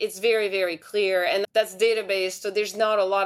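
A woman speaks with a French accent. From France. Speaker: tech investor, CEO of a startup accelerator. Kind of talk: interview.

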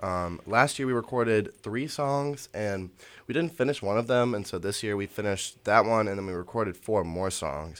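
Over a very clean recording with a silent background, a man with an unremarkable speaking voice and a fairly low pitch talks at a moderate pace with lively intonation. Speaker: student band manager. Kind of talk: casual interview. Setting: radio studio.

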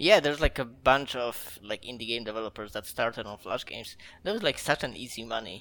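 The speaker has a Polish accent. The pace is fairly quick. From Poland, near the German border. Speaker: indie game developer. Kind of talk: casual interview.

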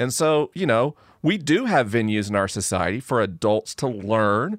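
On a very clean recording with a silent background, a man with a fairly low voice sounds dry and close, with no echo. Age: 40s. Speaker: science educator and podcaster. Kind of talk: casual interview conversation. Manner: articulate storyteller.

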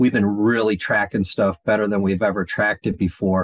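Recorded dry and close with no echo, a man talks at a moderate pace in a fairly low voice. It is a plain, everyday voice. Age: 60s. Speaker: mortgage industry coach. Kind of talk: podcast interview.

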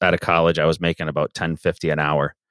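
Speaking at a very fast pace in an Ontario accent, a man comes through with a dry, close sound and no echo. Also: very clean recording, silent background. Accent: Canadian (Ontario). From Canada, Southern Ontario. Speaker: painting company owner. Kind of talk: interview.

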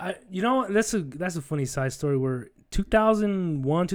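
A man in an ordinary speaking voice moves at a fairly quick pace, his intonation lively. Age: 30s. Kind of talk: casual chat.

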